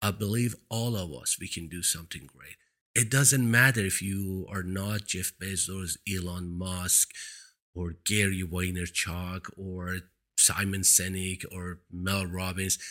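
A man with a Persian accent, very deep and low in pitch, bright and sharp in tone, at a fairly slow pace with fairly even intonation and big swings in loudness, on a very clean recording with a silent background. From Iran. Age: 50s. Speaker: motivational speaker / video blogger. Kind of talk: monologue telling personal story. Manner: motivational, earnest.

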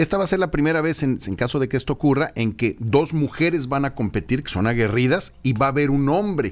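A man with a normal speaking voice talks at a fairly high pitch with lively intonation. He hardly pauses. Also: fairly quick pace. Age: 50s. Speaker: radio host. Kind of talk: radio interview. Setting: studio.

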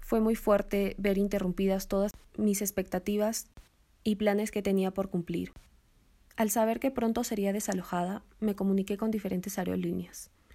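The recording is very clean, with a silent background. A woman speaks at a medium pitch in a dark, mellow tone with flat, monotone intonation. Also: moderate pace. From Peru, Cusco. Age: 20s. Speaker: university student. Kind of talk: testimony narration.

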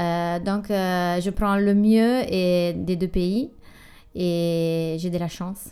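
A woman speaks at a very slow pace and a fairly low pitch, her intonation fairly even, in a very clean recording with a silent background. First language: Italian (speaking French). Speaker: artisan brand founder, former finance worker. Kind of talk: interview. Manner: halting.

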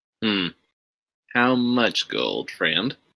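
A woman puts on a character voice pitched very deep and low. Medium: actual play. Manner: impatient, condescending.

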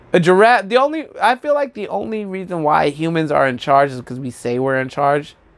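Talking at a fairly quick pace, a high-pitched man makes big swings in loudness and very wide pitch swings. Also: hardly any pauses. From New Mexico (Albuquerque). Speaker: stand-up comedian. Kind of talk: solo monologue podcast.

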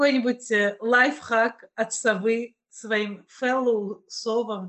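A woman speaks with a fairly high pitch. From Russia, Kazan. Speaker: podcast host. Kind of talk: casual chat.

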